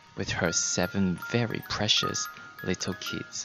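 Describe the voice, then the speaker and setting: The speaker talks at a fairly slow pace. Music plays in the background. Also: man. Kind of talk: bedtime story narration, ASMR storytelling.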